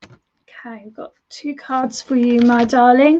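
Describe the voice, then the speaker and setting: In a British accent, a woman speaks at a high pitch with ordinary pitch variation. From United Kingdom. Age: 40s. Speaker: tarot reader and medium. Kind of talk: live-stream tarot reading. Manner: warm, chatty, repetitive.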